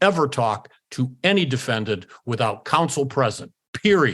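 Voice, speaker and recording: Speaking at a moderate pace in an American accent, a man uses a medium pitch with very wide pitch swings against a quiet background. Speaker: law professor and former attorney. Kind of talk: interview storytelling. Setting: podcast interview. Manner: animated.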